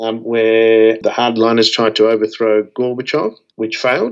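Medium-pitched male voice at a fairly quick pace. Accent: Australian. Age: 50s. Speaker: radio telescope operations scientist. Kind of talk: interview. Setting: video call.

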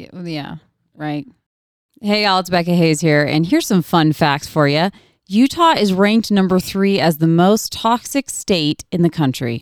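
A fairly low-pitched woman at a moderate pace, with lively intonation and big swings in loudness, in a very clean recording with a silent background. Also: dry, close sound with no echo. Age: 30s. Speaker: podcast host. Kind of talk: casual chat. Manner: animated.

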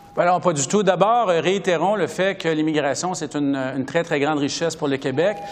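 Over noticeable background noise, a man with a fairly high voice talks at a fairly quick pace, his intonation fairly even. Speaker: member of parliament. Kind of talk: political debate.

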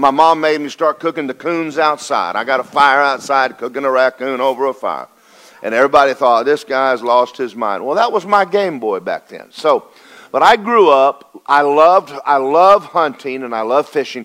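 A man speaks with a Southern US accent at a moderate pace. His pitch is fairly high and his intonation lively. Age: 60s. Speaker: pastor. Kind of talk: sermon. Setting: church. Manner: animated.

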